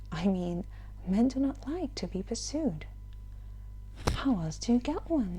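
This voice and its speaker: At a fairly slow pace, a soft-spoken woman talks. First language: not English. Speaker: ASMR audiobook reader. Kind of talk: reading aloud.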